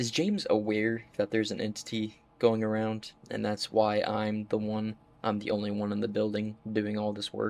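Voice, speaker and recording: The man's pitch is fairly low, and his intonation is monotone and flat. He talks at a moderate pace. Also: hardly any pauses. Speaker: gaming video creator. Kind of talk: let's play commentary.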